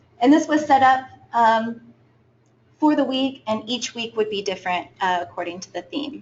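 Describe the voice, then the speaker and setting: A soft-spoken woman talks at a high pitch. Her intonation is lively. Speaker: student intern. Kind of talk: presentation. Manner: hesitant, many fillers.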